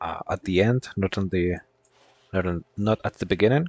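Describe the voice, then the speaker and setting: Speaking at a fairly quick pace, this man has a fairly low pitch. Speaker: gaming streamer. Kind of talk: casual gameplay commentary. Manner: halting, repeats words.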